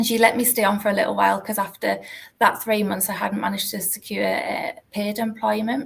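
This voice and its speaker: A woman speaks at a fairly quick pace with a North East England accent. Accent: North East English (Geordie). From North East England, Newcastle. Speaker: university alumni relations manager. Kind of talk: interview, career story.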